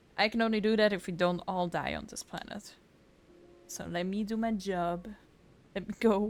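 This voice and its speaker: A woman with a non-native accent speaks at a medium pitch and a moderate pace, with big swings in loudness and long, frequent pauses. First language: not English. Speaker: vtuber gaming streamer. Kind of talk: casual let's play commentary with reading dialogue aloud. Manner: animated.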